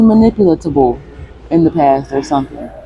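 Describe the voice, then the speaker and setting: Over noticeable background noise, a woman talks at a very fast pace with very wide pitch swings. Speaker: vlogger. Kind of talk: personal vlog monologue. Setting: gym. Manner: soft-spoken.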